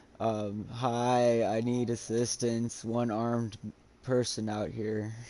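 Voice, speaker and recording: A man uses a put-on character voice at medium pitch, speaking at a very slow pace. His intonation stays monotone and flat. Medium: actual play. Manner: casual, laid-back.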